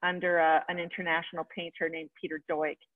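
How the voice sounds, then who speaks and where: The background is silent. The speaker is a woman. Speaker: guest. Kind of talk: interview answer. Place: home room. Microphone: video call.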